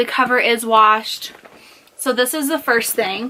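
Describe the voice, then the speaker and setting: Over noticeable background noise, a woman raises and projects her high voice, with ordinary pitch variation. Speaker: vlogger. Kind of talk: casual show-and-tell vlog. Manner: casual, chatty.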